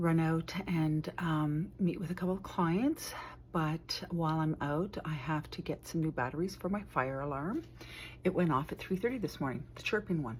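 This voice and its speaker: A woman speaks at a moderate pace with long, frequent pauses and a somewhat breathy voice. The recording is very clean, with a silent background. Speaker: homemaker and lifestyle vlogger. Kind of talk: casual vlog talk to camera.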